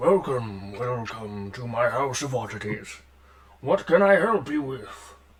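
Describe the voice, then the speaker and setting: A man's put-on character voice at medium pitch and a fairly slow pace. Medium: actual play.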